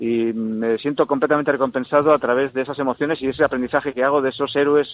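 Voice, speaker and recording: A man speaks at a medium pitch with ordinary pitch variation in an ordinary speaking voice. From Spain, Burgos (Valle de Mena). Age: 50s. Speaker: radio presenter and journalist. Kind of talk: radio interview.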